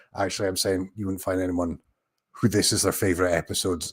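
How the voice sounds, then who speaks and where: This is a man speaking with a Scottish accent. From Scotland. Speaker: YouTuber, TV commentator. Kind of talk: live watch-along commentary. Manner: hesitant, many fillers.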